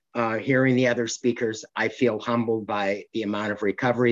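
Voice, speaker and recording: Against a quiet background, a man in a plain, everyday voice speaks fairly quickly at a fairly low pitch. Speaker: recovering compulsive overeater sharing his story. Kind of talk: recovery meeting share. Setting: video call.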